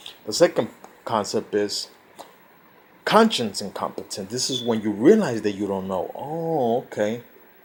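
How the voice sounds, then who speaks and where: With a Spanish accent, a man talks at medium pitch in lively intonation, taking long, frequent pauses. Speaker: self-help vlogger. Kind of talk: informal lecture. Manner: halting.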